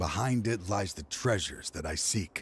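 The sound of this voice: In a put-on character voice with a husky, rough edge, the delivery moves at a fairly slow pace with lively intonation. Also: man, low pitch for a man.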